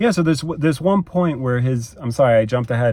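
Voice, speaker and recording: Somewhat breathy and dark, mellow in tone, the voice moves at a fairly quick pace with lively intonation. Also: man. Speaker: movie reviewer. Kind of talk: casual monologue review. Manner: hesitant with many repetitions.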